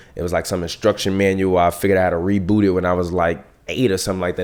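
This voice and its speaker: A man's very deep, low voice carries fairly even intonation. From Chicago South Side. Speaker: podcast host and filmmaker. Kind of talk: casual monologue. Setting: home office. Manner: loud.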